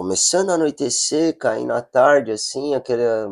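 A man in a normal speaking voice talks at a moderate pace with ordinary pitch variation, the sound dry and close with no echo. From São Paulo, Brazil. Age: 40s. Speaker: adaptive surfer and project founder. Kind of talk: casual chat.

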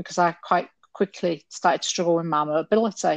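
A woman with a Yorkshire accent talks at a fairly quick pace with fairly even intonation. The sound is dry and close with no echo, over a quiet background. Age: 50s. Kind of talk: casual chat.

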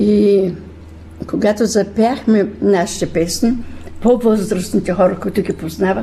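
A woman speaking at a fairly slow pace with fairly even intonation, over noticeable background noise. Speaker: retired music teacher, women's folk group leader. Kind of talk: radio interview.

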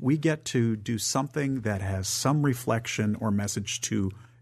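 Against a quiet background, a man with an American accent talks at a moderate pace and a medium pitch. His voice is somewhat breathy, with ordinary pitch variation. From northern Michigan. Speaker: theater executive director. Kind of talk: radio interview.

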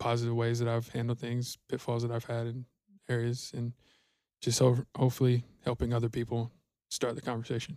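A man talks at a fairly quick pace in a monotone, flat intonation, with a dark, mellow tone. There are long, frequent pauses, and the sound is dry and close with no echo. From Georgia, US. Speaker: podcast co-host. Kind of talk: casual chat.

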